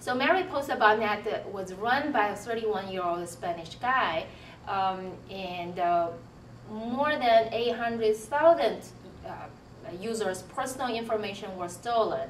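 At a very slow pace, a woman with a Chinese accent speaks in a fairly high pitch, with light background noise and audible room echo. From Tianjin, China. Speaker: computer science professor. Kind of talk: faculty interview, monologue. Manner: hesitant, many fillers. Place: office.

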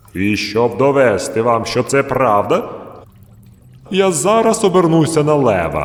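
In a put-on, gruff character voice, a man speaks at a medium pitch. His pace is fairly slow, with long, frequent pauses.

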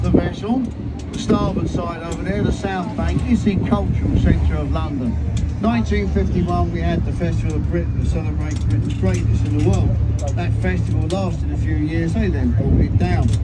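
Music plays in the background while a man speaks at a moderate pace. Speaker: boat tour guide. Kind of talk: live tour commentary with jokes. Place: boat.

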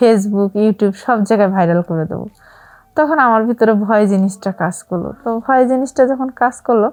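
A woman uses a normal speaking voice, pitched fairly high, with ordinary pitch variation. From Rangpur, northern Bangladesh. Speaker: private tutor sharing a life story. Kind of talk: personal testimony.

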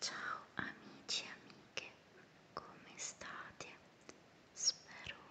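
A woman's whisper at a very slow pace, set against noticeable background noise. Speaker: ASMR creator. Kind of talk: guided meditation. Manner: whispered; slow, soft-spoken.

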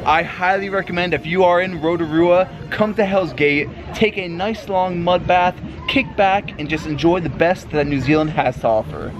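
The speech moves at a moderate pace with ordinary pitch variation. Noticeable background noise runs underneath. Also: man, high pitch for a man. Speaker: travel vlogger. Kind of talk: casual vlog chat.

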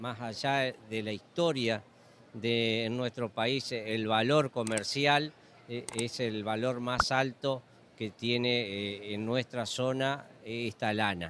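In a dry sound with no echo and noticeable background noise, a man with an Argentine Litoral accent speaks at a very slow pace, his medium pitch held in fairly even intonation. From Argentina, Entre Ríos; Argentina. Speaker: sheep breeder. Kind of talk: interview. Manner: halting, many fillers. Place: hall. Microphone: handheld.

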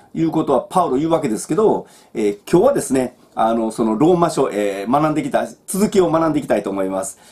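A man speaks at a very fast pace in a fairly high voice, his pitch swinging very widely. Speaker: Bible teacher. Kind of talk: Bible study talk. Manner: casual, with many fillers. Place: home room. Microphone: webcam.

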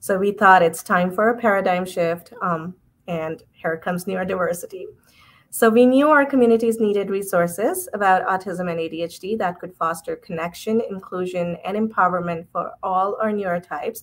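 The woman speaks at a moderate pace. Her pitch varies in an ordinary way. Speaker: event host. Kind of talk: host introduction. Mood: warm, smiling.

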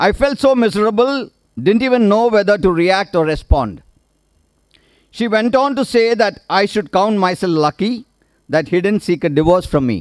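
A man with an Indian accent speaks at a high pitch and moderate pace with lively intonation, over a quiet background, in a dry sound with no echo. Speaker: retired naval officer, author's husband; speaker. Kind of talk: vote of thanks speech. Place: stage. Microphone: podium.

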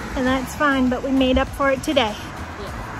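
Against noticeable background noise, a woman speaks at a high pitch in a dry sound with no echo. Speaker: running vlogger. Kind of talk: casual vlog chat. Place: street.

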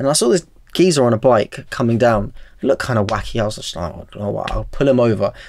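The speaker talks at a fairly quick pace in a London accent. There is vocal fry and light background noise. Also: man, medium pitch for a man. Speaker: barber and content creator; content creator. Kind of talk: casual chat. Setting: studio. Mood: relaxed, reflective. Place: studio. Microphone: studio mic.

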